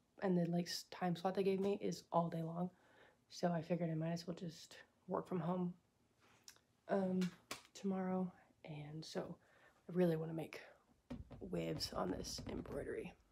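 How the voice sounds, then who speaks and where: A woman with an American accent and a fairly low pitch sounds somewhat breathy, speaking at a moderate pace in a monotone, flat intonation with long, frequent pauses. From Texas. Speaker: artist vlogger. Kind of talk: casual vlog talk. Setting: at home.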